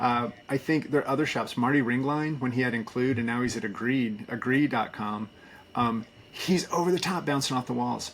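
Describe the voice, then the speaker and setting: A man talks at a moderate pace in a medium pitch, with ordinary pitch variation. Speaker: agency community leader, former agency owner. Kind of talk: podcast interview. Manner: loud; energetic.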